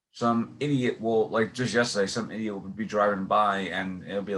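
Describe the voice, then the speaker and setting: With a New York accent, a man speaks at a fairly low pitch and a moderate pace, showing ordinary pitch variation. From New York City. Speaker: podcast host and actor. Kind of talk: casual interview chat. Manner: halting, many fillers and restarts.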